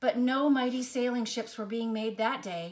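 With audible room echo around her, a woman speaks at a fairly high pitch with lively intonation.

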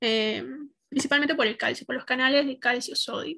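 A raised, projected voice with a bright, sharp tone moves at a moderate pace with ordinary pitch variation. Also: woman. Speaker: medical student; student lecturer. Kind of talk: lecture.

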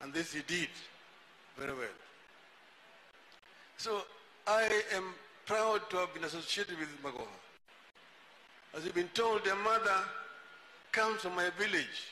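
A man's raised, projected voice at a moderate pace with ordinary pitch variation and long, frequent pauses, plus audible room echo and light background noise. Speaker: speaker. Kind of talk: public speech tribute. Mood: warm, respectful remembrance. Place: tent. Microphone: handheld.

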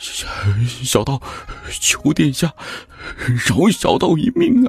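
The speaker puts on a character voice that sounds shaky. The delivery is very slow. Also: man, fairly high pitch for a man. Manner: trembling, pleading.

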